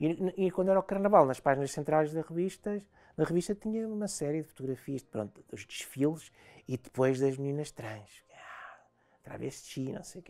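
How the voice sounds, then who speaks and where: A woman's very deep, low voice with a dark, mellow tone and a European Portuguese accent, lively intonation, big swings in loudness, and a moderate pace against a quiet background. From Portugal. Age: 50s. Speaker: interview guest. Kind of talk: interview. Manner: halting, many repetitions and fillers. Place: studio.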